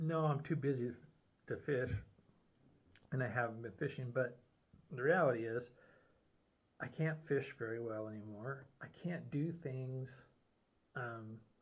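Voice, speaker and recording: At a fairly slow pace with long, frequent pauses, a man speaks in a somewhat breathy voice of medium pitch. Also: ordinary pitch variation. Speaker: video diarist with brain injury. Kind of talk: personal video journal. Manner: slurred at times; halting, many fillers.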